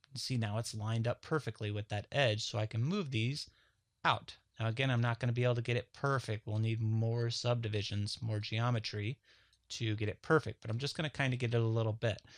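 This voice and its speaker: Against a quiet background, a man talks at a medium pitch with fairly even intonation. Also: fairly quick pace. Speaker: 3D modeling tutorial instructor. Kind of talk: software tutorial. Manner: casual, conversational; mumbling.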